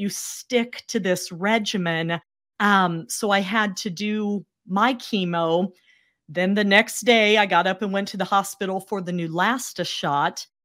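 In a very clean recording with a silent background, a woman with a normal speaking voice talks at a fairly slow pace and medium pitch, with ordinary pitch variation. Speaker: cancer survivor and speaker. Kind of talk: interview.

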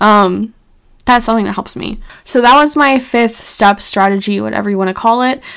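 A woman delivers her words fairly quickly in an ordinary speaking voice, her pitch fairly high and its variation ordinary. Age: 20s. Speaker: podcast host and health coach. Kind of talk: solo podcast monologue. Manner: casual, filler-heavy.

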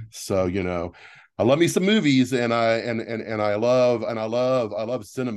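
Against a quiet background, a voice with an American accent is heard. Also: man. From Texas. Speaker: theatre producer. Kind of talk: interview, casual chat. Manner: animated.

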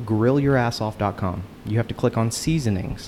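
With a Texan accent, a man speaks at medium pitch and a moderate pace with ordinary pitch variation, amid noticeable background noise. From Houston, Texas. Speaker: seasoning company founder. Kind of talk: casual chat. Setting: office bar at a company party.

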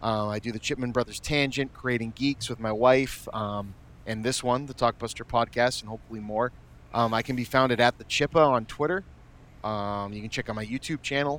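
Speaking at a fairly quick pace, a man uses a plain, everyday voice with fairly even intonation. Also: medium pitch for a man. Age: 30s. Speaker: podcast host, former video store clerk. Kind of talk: casual chat.

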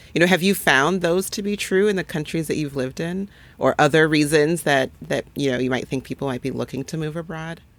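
A woman with a very deep, low pitch speaks at a fairly quick pace with hardly any pauses. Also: ordinary pitch variation. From Nigeria. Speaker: physician podcast host. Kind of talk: scripted narration; casual chat.

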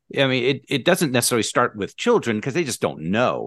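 A man at a very fast pace with vocal fry and very wide pitch swings, over a quiet background. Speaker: podcast co-host. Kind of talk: casual chat.

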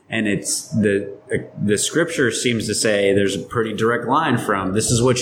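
A man talks at a moderate pace with a fairly low pitch and ordinary pitch variation. Noticeable background noise runs behind him. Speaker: podcast co-host. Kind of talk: casual banter, joking. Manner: jokey, animated.

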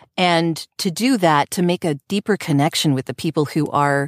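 A woman's unremarkable speaking voice at a moderate pace with lively intonation, in a very clean recording with a silent background. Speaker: voice actor. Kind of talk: casual interview chat. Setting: video podcast stream.

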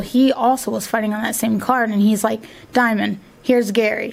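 A woman speaks in a monotone, flat way with an American accent. There is noticeable background noise. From northwest Ohio, US (Findlay/Fostoria). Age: 30s. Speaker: MMA fighter and gym owner. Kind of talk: casual interview. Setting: studio.

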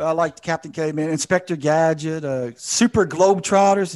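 Against a quiet background, a man with a high pitch talks at a fairly quick pace with ordinary pitch variation. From Southwest Louisiana. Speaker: podcast host. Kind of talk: casual chat; quiz questions.

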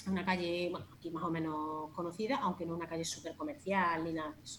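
Noticeable background noise sits under the recording. A woman speaks at a fairly low pitch. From Andalusia, Jaén province. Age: 40s. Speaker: natural cosmetics shop owner. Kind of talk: casual interview.

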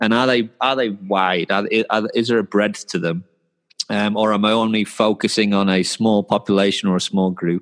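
In a Yorkshire accent, a man with a fairly low pitch speaks at a moderate pace, his intonation fairly even and his loudness very even, in a dry, close sound with no echo. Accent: northern English (Yorkshire). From North Yorkshire, northern England. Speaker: sports performance coach. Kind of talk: interview conversation.

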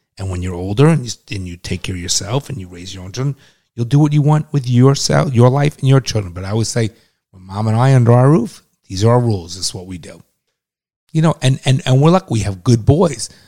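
Very fast male voice, somewhat breathy, dark and mellow in tone, with medium pitch and lively intonation, in a dry, close sound with no echo. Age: 50s. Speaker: podcast host, father of co-host. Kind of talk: casual banter and opinion talk.

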